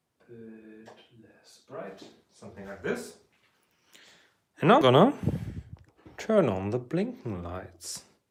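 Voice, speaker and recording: With a German accent, the speaker goes at a very slow pace, taking long, frequent pauses, and the loudness swings widely. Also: man. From Germany. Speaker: electronics hobbyist streamer. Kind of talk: live stream tutorial.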